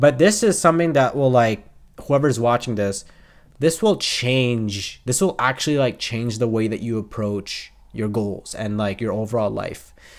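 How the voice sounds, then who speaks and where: A man speaks at medium pitch and a moderate pace. His pitch varies in an ordinary way, and the recording is very clean with a silent background. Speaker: self-improvement YouTuber. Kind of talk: casual talk to camera. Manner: repetitive, halting.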